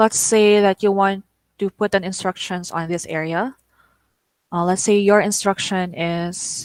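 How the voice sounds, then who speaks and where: A woman speaks at a fairly slow pace with a Filipino accent and fairly even intonation. The sound is dry and close, with no echo. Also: medium pitch for a woman. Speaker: online teaching trainer. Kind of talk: tutorial. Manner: stutters; code-switching English and Tagalog.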